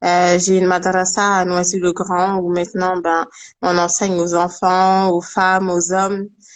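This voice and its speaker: At a medium pitch, a woman speaks in a monotone, flat intonation at a fairly slow pace, with very even loudness. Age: 20s. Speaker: Quran teacher and writer. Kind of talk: interview.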